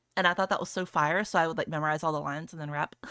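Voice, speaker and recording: A woman mumbling at a very fast pace in a bright, sharp tone, the sound dry and close with no echo, on a very clean recording with a silent background. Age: 20s. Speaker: VTuber streamer. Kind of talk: casual livestream chat. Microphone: close to mic, hides behind it.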